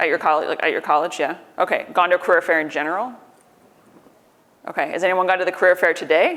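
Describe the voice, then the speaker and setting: With an American accent, a woman of fairly low pitch speaks at a very fast pace in fairly even intonation, broken by long, frequent pauses. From US, New York. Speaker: tech company recruiter and conference speaker. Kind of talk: conference talk. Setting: conference stage with audience.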